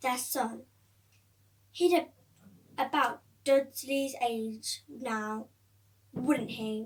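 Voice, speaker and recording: Mumbling in a put-on character voice, a high-pitched woman speaks at a very slow pace with long, frequent pauses. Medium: read story. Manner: hesitant, mumbling.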